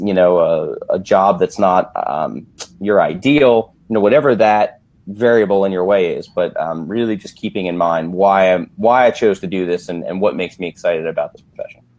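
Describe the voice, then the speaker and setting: Speaking at a moderate pace, a man has an unremarkable speaking voice, fairly low in pitch, with ordinary pitch variation. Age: 30s. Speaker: physical therapist. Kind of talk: interview.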